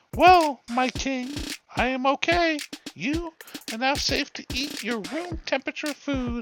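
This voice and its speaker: A man puts on a character voice at an extremely high pitch. He speaks at a fairly slow pace. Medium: read story. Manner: obsequious, sly.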